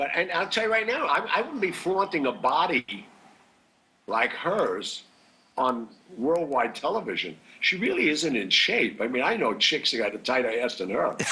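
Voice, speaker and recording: Against noticeable background noise, a man talks at a high pitch with very wide pitch swings. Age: 70s. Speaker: actor. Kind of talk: interview. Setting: video call.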